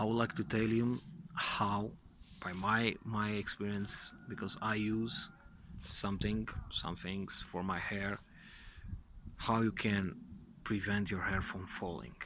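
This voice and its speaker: A man with a non-native accent talks very slowly with long, frequent pauses, his fairly low voice bright and sharp in tone with ordinary pitch variation. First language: not English. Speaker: vlogger and nurse. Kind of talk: casual vlog talk. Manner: halting, many fillers.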